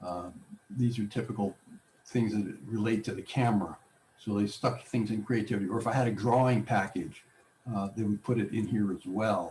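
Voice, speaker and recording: A man talks at a moderate pace in a fairly low pitch with fairly even intonation. His tone is dark and mellow, somewhat breathy. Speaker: technology class instructor. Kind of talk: tutorial.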